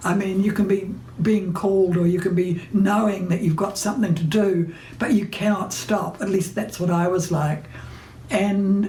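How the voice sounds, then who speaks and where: Speaking with a New Zealand accent at a fairly slow pace, a woman uses a medium pitch and ordinary pitch variation, amid audible room echo and noticeable background noise. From New Zealand, Hawke's Bay. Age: 90s. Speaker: playwright and novelist. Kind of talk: recorded interview monologue. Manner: hesitant with fillers.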